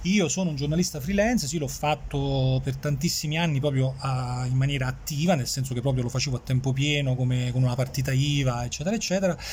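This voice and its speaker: Rushing at a very fast pace with hardly any pauses, a man speaks with ordinary pitch variation over noticeable background noise. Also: medium pitch for a man. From Campania, Irpinia (family roots; born in Switzerland). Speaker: journalist. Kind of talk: casual interview. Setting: café. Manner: hesitant, with frequent repetitions.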